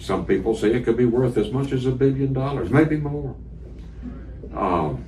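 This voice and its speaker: Speaking with an American accent, a man at medium pitch keeps a moderate pace and lively intonation, with long, frequent pauses. The room echo is audible, and background noise is noticeable. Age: 70s. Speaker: radio interviewer. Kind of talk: candidate interview.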